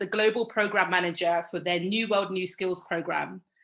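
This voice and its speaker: A woman with a British accent speaks in a bright, sharp tone. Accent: very British. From London, England. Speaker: panel moderator, work consultant. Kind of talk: moderated panel discussion. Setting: virtual event video call.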